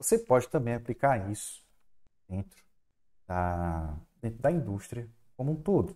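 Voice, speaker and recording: With long, frequent pauses, a man speaks in a dark, mellow tone that moves through very wide pitch swings. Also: fairly slow pace. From Fortaleza, Ceará, Brazilian Northeast; Ceará, Brazil. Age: 30s. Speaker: university chemistry professor. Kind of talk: online lecture. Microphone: headset.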